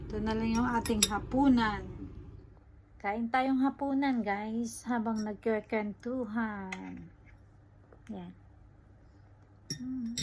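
A woman with a fairly high pitch speaks at a very slow pace, her voice somewhat breathy. Her intonation stays fairly even, broken by long, frequent pauses. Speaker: vlogger, factory worker. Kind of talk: casual vlog narration.

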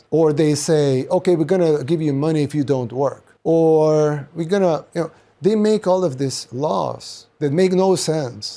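A man talks at a moderate pace with a Spanish accent, his tone dark and mellow. The recording is very clean, with a silent background. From El Salvador. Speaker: political commentator. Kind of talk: monologue commentary. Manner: halting, many restarts.

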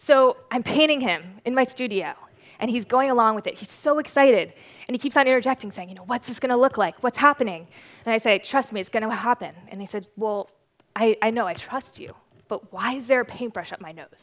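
A woman speaks at a fairly quick pace in a high voice, her loudness swinging widely. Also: ordinary pitch variation. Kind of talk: conference talk storytelling. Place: stage. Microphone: headset.

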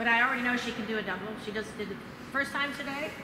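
A raised, projected voice with ordinary pitch variation carries through noticeable background noise and audible room echo. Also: woman. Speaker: trampoline coach presenter. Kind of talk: coaching demonstration talk. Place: gym.

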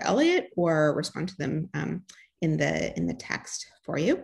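A woman talks at a moderate pace, her voice somewhat breathy. The background is quiet. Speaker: grand rounds host. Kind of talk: event introduction and housekeeping. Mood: warm, slightly hesitant. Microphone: webcam.

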